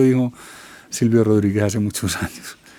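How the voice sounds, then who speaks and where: Fairly low in pitch, the man's dark, mellow tone carries fairly even intonation. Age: 60s. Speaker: musician. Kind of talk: interview.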